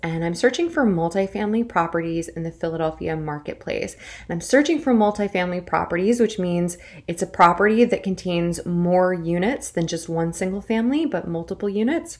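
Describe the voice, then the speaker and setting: A woman talks at a moderate pace with hardly any pauses. Her pitch variation is ordinary and the background is quiet. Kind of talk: tutorial. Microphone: webcam.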